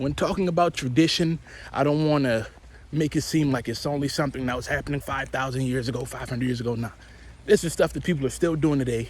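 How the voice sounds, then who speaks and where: A man with a fairly high pitch and a somewhat breathy voice speaks at a very fast pace with ordinary pitch variation. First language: Basaa. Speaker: vlogger on African spirituality. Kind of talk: casual monologue vlog. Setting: on the way to work.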